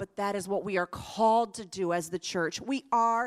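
A woman with an American accent speaks at a medium pitch in a plain, everyday voice. The recording is very clean, with a silent background. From US South, Central Florida. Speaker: missionary. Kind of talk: sermon. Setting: church with live audience.

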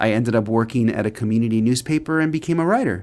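In a very clean recording with a silent background, a man with a Californian accent speaks at medium pitch with ordinary pitch variation. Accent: Californian American English. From Los Angeles, US. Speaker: author and professor. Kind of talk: interview.

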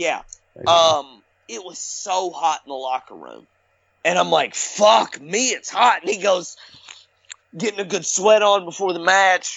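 With a Southern US accent and an animated tone, a man speaks at a high pitch and a fairly slow pace, using ordinary pitch variation, big swings in loudness, and long, frequent pauses. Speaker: former indie wrestler. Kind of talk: casual chat.

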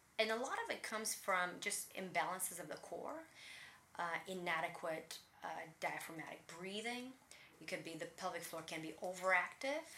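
With a Russian accent, a woman speaks at a fairly low pitch for a woman in a bright, sharp tone, with ordinary pitch variation, big swings in loudness and audible room echo. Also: moderate pace. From Latvia (Riga), Russian-speaking. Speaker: personal trainer, former professional dancer. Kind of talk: interview.

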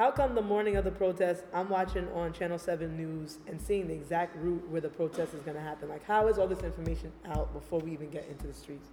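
Amid noticeable background noise, a woman with an American accent and a fairly low pitch talks at a very fast pace with hardly any pauses, ordinary pitch variation and big swings in loudness. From Brooklyn, New York. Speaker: visual artist. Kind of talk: casual interview chat.

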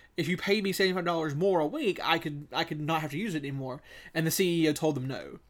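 Talking at a very fast pace in a Southern US accent, a man uses a fairly high pitch with ordinary pitch variation in a very clean recording with a silent background. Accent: Southern US (Georgia). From US South. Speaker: podcast co-host. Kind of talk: casual chat.

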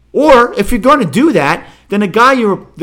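A man talks at a moderate pace in a bright, sharp tone. He sounds animated. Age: 50s. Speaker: sports podcast host. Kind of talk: casual solo sports commentary.

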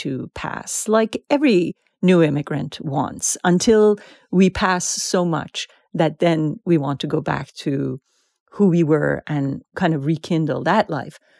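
Speech in a Persian accent comes at a fairly slow pace with ordinary pitch variation, the sound dry and close with no echo. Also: woman. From Iran. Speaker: author. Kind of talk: interview.

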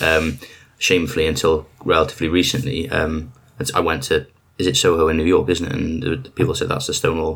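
A man with a Welsh accent speaks at a fairly quick pace in a very deep, low voice. Noticeable background noise runs under the clip. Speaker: podcast host. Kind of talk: interview. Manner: rambling.

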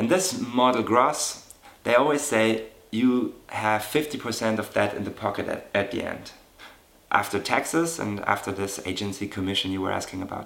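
A man with a German accent talks at medium pitch. His pace is moderate and his pitch variation ordinary. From Germany. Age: 30s. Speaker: model. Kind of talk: interview.

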